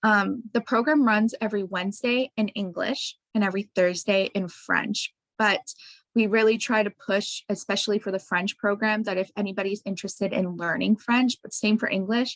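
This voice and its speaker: Recorded dry and close with no echo, a woman with a plain, everyday voice speaks at a moderate pace and medium pitch, her intonation fairly even. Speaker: science center educator. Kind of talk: presentation. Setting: video call.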